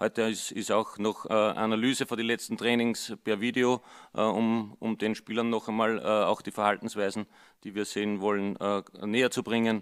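A man with an Austrian accent, flat and monotone, at a moderate pace. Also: quiet background. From Upper Austria. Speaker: football assistant coach. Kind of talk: press conference. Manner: hesitant, many fillers. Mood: calm, friendly. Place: hall. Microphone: podium.

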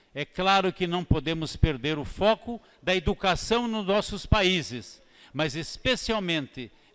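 A man with a high pitch and lively intonation speaks at a fairly slow pace over a quiet background. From southern Brazil, Paraná (Foz do Iguaçu); Paraná, Brazil. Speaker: politician, parliamentarian; politician. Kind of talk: parliamentary speech. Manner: formal. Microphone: podium.

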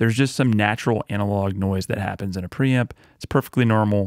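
A man with a normal speaking voice talks at a moderate pace and fairly low pitch with fairly even intonation, the sound dry with no echo and the background quiet. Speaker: audio tutorial host. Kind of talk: tutorial. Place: home room. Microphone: studio mic.

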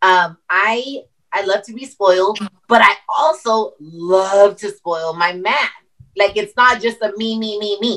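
Against a quiet background, a woman talks at a fairly slow pace with ordinary pitch variation and big swings in loudness. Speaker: entrepreneur; guest. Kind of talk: casual panel discussion. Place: home room. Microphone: video call.

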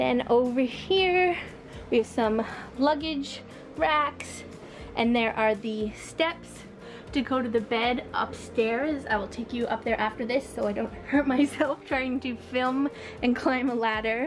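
Over clear music in the background, a woman talks at a fairly slow pace in a high pitch with ordinary pitch variation. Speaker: travel vlogger. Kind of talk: casual tour narration. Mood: cheerful, enthusiastic. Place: tent. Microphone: phone near.

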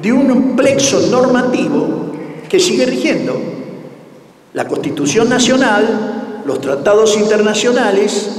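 A man's high voice at a very slow pace, with very wide pitch swings and audible room echo. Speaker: course lecturer. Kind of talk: lecture. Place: hall. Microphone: podium.

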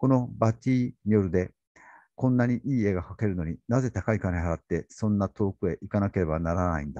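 Over a quiet background, a man with a dark, mellow tone speaks at a fairly quick pace, the sound dry with no echo. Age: 60s. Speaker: literature YouTuber. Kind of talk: casual talk. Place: home room. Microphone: studio mic.

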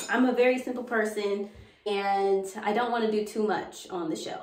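Audible room echo and light background noise fill the recording. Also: woman. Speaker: home decor vlogger. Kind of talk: casual vlog chat. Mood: relaxed and pleased. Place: bathroom.

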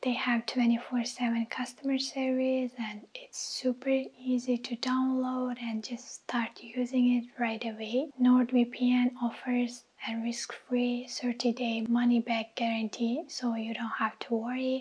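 A soft-spoken woman with a high pitch talks in a calm tone with monotone, flat intonation. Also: fairly slow pace. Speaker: YouTuber doing sponsor reads. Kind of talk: sponsor read to camera. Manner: soft-spoken, calm. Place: kitchen. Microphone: lapel.

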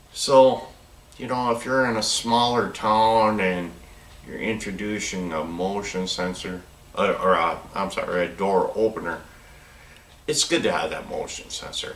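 With audible room echo and light background noise, a man speaks fairly slowly in an American accent. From US Upper Midwest (northern Minnesota). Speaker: product demonstrator for door openers; product reviewer. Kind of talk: product demo tutorial. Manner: casual, conversational with self-corrections. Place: workshop. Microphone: camera far.

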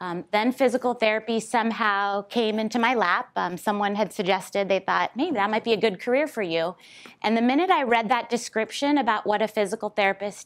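The background is quiet while a woman speaks at a fairly quick pace. Her pitch varies in an ordinary way. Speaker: guest lecturer. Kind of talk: lecture. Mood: warm, lightly humorous. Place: classroom.

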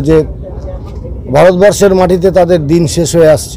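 A man is heard in a dry recording with no echo. There is light background noise. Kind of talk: interview answer. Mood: calm, commemorative. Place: street. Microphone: phone near.

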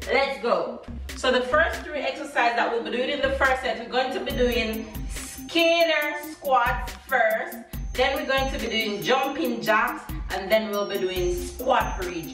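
A woman speaks at a fairly slow pace in a high voice. Clear music plays behind her, and the room echo is audible. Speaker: fitness instructor. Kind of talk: workout tutorial. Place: home room. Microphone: camera far.

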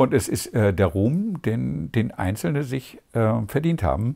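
Against a quiet background, a man speaks in a somewhat breathy voice with a dark, mellow tone. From East Germany. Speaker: former East German dissident, theologian. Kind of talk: interview answer. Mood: calm, reflective. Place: home room.

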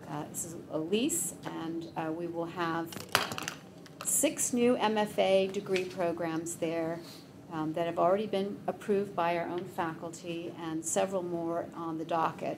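A woman speaks at a fairly slow pace with fairly even intonation over noticeable background noise. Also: fairly low pitch for a woman. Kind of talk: formal reading then explanation. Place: meeting room. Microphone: podium.

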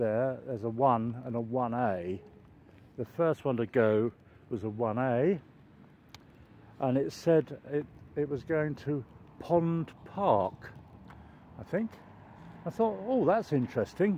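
With a dark, mellow tone, a man speaks at a very slow pace with long, frequent pauses, the sound dry with no echo over light background noise. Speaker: walking vlogger. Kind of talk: casual vlog chat. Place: street. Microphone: phone near.

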